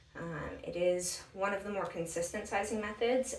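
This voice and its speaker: Noticeable background noise and audible room echo surround the recording. A woman speaks fairly quickly at a medium pitch with fairly even intonation. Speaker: bra fitting enthusiast. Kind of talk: tutorial. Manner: casual with frequent fillers.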